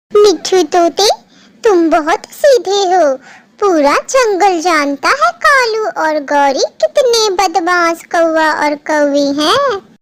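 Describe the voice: A woman in a cartoonish character voice, extremely high in pitch, very slow, with lively intonation and very even loudness.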